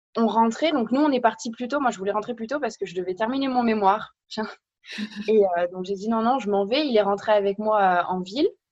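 With an ordinary speaking voice, a woman speaks at a fairly quick pace in a fairly high pitch with ordinary pitch variation. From France. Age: 20s. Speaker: podcast guest. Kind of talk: casual chat.

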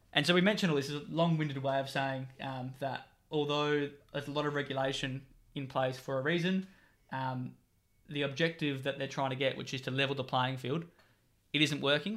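A man's fairly high voice with an Australian accent, fairly quick pace and fairly even intonation, on a very clean recording against a silent background. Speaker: football club president and writer. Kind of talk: casual interview.

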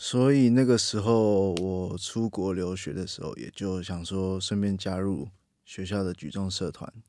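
Speaking at a fairly slow pace, a man delivers a very deep, low pitch with a dark, mellow tone and ordinary pitch variation. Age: 20s. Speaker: strength and weightlifting coach. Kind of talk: casual chat.

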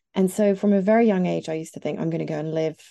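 A woman speaks with an East Midlands accent against a quiet background. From England, near Nottingham. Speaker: journalist and podcaster. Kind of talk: interview conversation.

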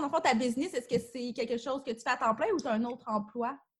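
A speaker with a Quebec accent uses a raised, projected voice with a bright, sharp tone. The pitch variation is ordinary. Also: woman. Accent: Québécois French. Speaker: podcast host. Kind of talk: interview.

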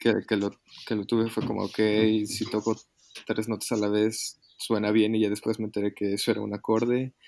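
A man with a fairly low voice speaks in a flat monotone at a fairly quick pace. His speech is broken by long, frequent pauses. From Mexico City. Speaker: musician. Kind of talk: casual chat. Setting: remote recording from home. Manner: halting.

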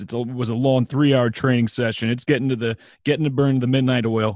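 A man uses a normal speaking voice at medium pitch and a moderate pace, with a quiet background. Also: dry, close sound with no echo. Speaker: podcast host. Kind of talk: podcast interview.

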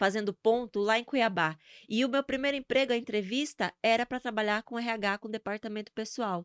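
On a very clean recording with a silent background and a dry, close sound with no echo, a woman with a northeastern Brazilian accent speaks in an animated tone with ordinary pitch variation. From Brazil, Sergipe (Northeast). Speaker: social media influencer. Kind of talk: casual interview chat.

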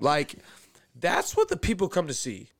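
A man talks in an animated tone. He has an American accent. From Houston, Texas. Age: 20s. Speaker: sports podcast host. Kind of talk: casual chat.

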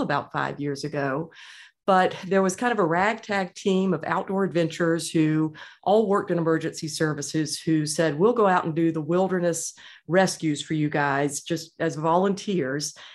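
A woman speaks at a moderate pace with an American accent and ordinary pitch variation. The recording is very clean, with a silent background. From US South, Georgia (Atlanta suburbs). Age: 50s. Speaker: author and hiker. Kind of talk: interview.

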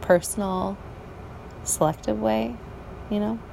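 A woman speaks fairly slowly, and noticeable noise can be heard behind her. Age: 40s. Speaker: podcaster and office cleaner. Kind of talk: personal monologue. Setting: outdoors on a balcony at night. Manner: halting.

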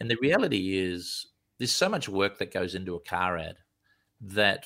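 A man with an Australian accent, a bright, sharp tone and a fairly low pitch, at a moderate pace with ordinary pitch variation, on a very clean recording with a silent background. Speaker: commercial film director. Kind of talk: interview. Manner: casual.

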